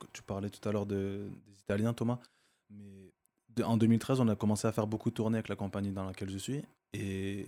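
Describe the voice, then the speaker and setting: A man talks at a fairly quick pace in a fairly low voice with a dark, mellow tone. His intonation is monotone and flat, and the recording is very clean with a silent background. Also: big swings in loudness. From Marseille, France. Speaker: dancer. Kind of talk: casual chat.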